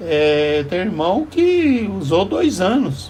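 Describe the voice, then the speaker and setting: Noticeable background noise fills the recording. Through it, a man can be heard talking. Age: 70s. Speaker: vlogger. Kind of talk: casual monologue. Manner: halting.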